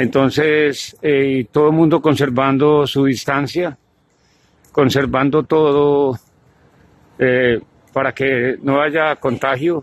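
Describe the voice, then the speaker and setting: Speaking at a very slow pace with long, frequent pauses, a man keeps monotone, flat intonation and very even loudness, the sound dry with no echo. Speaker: supermarket worker abroad, guest. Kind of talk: recorded testimony and street interview. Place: street. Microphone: phone near.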